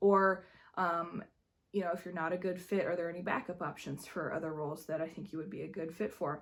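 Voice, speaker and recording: On a very clean recording with a silent background, a quiet woman speaks at a moderate pace, her medium-pitched voice fairly even in intonation. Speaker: high school drama director and vlogger. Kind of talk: vlog. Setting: empty school. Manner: quiet, hushed.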